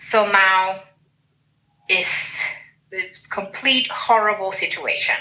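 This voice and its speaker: The speaker has a Spanish accent and talks at a very slow pace with fairly even intonation. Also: woman. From Dominican Republic, Santiago. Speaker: guest, writer. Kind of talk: personal testimony. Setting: video call.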